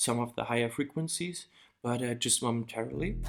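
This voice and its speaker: Speaking with ordinary pitch variation, the man has a medium-pitched voice. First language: not English. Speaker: music production tutor. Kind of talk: tutorial. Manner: halting, many fillers.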